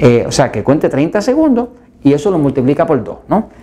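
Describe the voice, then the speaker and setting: A man speaks with very wide pitch swings. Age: 60s. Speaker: health educator. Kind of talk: health video talk.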